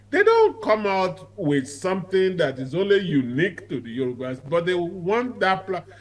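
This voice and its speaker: Noticeable background noise sits under this recording. A man with a high pitch talks with very wide pitch swings. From southwest Nigeria. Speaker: advocacy group leader. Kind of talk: TV interview. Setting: remote link.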